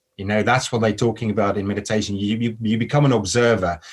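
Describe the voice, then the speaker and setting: A man speaking at a very fast pace, on a very clean recording with a silent background. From South Africa. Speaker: model and actor, spiritual social media creator. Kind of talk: podcast interview conversation.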